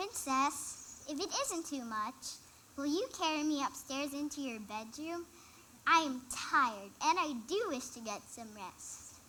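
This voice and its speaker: A high-pitched, put-on character voice speaks at a fairly slow pace over clear background noise. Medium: stage play. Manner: polite, earnest.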